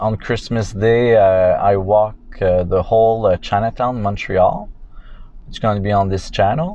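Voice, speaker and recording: A man talks at a fairly slow pace in a fairly low pitch. His intonation stays fairly even. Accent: French Canadian. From Quebec. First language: French. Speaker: vlogger. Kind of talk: driving vlog narration. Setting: in a car. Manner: halting, many fillers.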